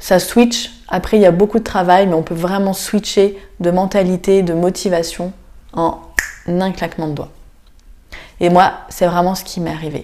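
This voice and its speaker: A woman with a medium-pitched, dark and mellow voice speaks at a fairly slow pace. Her intonation is flat and monotone. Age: 30s. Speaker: chiropractor and podcast host. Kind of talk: personal monologue.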